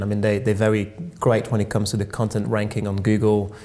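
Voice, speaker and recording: A man with a slight French accent speaks at a fairly low pitch. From France. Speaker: tech company co-founder. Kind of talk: radio interview. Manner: hesitant, many fillers.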